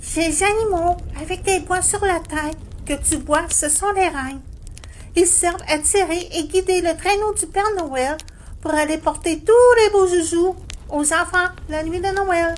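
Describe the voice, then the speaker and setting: In a put-on character voice of extremely high pitch, the speaker goes at a fairly slow pace over clear background noise. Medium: audio drama. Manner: friendly, helpful.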